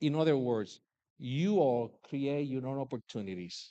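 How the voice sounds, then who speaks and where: A man with a Puerto Rican accent, lively intonation and a moderate pace, against a quiet background. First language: Spanish. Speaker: commencement speaker, businessman and army veteran. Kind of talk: commencement speech. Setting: graduation ceremony.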